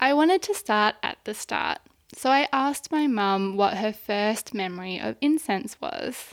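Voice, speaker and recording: Fairly slow delivery in a very clean recording with a silent background and a dry, close sound free of echo. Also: woman, fairly high pitch for a woman. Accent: Australian. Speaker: audio storyteller. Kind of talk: scripted narration.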